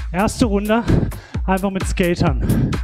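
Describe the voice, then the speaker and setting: Speech moves at a very slow pace over clear music in the background. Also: man. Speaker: fitness instructor. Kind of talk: workout instruction. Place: gym.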